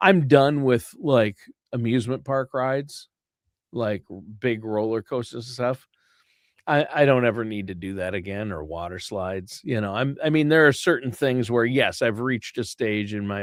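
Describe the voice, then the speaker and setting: An unremarkable speaking voice from a man at medium pitch, with lively intonation and a moderate pace, in dry, close sound with no echo on a very clean recording with a silent background. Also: big swings in loudness. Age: 60s. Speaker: podcast co-host. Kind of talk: casual chat; show introduction.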